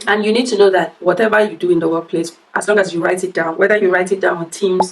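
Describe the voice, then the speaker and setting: A woman at a very fast pace, medium in pitch, with noticeable background noise. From Nigeria. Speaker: workplace advice vlogger. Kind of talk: casual chat. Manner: animated.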